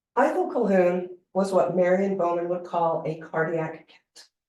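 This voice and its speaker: Fairly even intonation carries through audible room echo. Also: woman. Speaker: academic lecturer. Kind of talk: lecture. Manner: reading from script.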